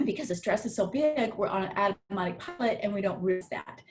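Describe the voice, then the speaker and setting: Lively intonation marks the somewhat breathy speech of a woman. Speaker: trauma therapist and life coach. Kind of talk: live virtual workshop talk. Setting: live video stream. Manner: hesitant, many fillers.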